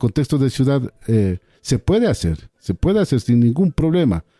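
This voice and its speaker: A man's medium-pitched voice, dark and mellow in tone, at a moderate pace, with a dry, close sound and no echo. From Ecuador, Andean Kichwa community. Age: 60s. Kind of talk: radio interview. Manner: halting, frequent repetitions.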